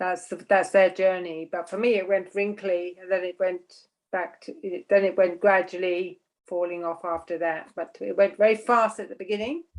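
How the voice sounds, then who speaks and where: Using a normal speaking voice, a woman talks at a medium pitch. Her pace is moderate and her intonation fairly even. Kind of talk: casual conversation.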